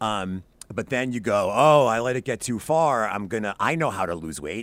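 A man's plain, everyday voice, fairly low in pitch, with lively intonation, in a very clean recording against a silent background. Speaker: podcaster and tutoring company founder. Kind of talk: casual interview chat.

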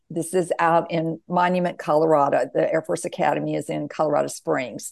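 A woman with an American accent, fairly low in pitch, at a moderate pace over a quiet background. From US South. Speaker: author and near-death experiencer. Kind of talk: interview.

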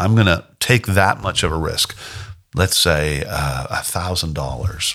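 A man's very deep, low voice with vocal fry and a bright, sharp tone, at a fairly slow pace with lively intonation. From Canada. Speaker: singer-songwriter. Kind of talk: interview.

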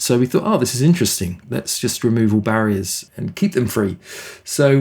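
Here is a man with a British accent and a medium pitch. He talks at a fairly quick pace. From England. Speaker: nonprofit CEO. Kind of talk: interview.

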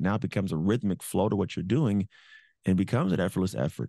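A very fast voice with a dark, mellow tone and ordinary pitch variation, dry and close with no echo over a quiet background. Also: man. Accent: American. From California. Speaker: motivational speaker, former pro football player. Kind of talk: interview, storytelling.

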